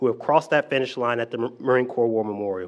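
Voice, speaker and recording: The background is quiet as a man speaks with ordinary pitch variation. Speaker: presenter. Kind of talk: formal prepared remarks at a press conference. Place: hall. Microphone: podium.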